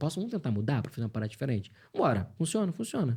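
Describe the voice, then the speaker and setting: In a very clean recording with a silent background, a man speaks at a very fast pace in an animated tone with vocal fry and very wide pitch swings. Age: 40s. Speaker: voice actor. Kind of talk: interview.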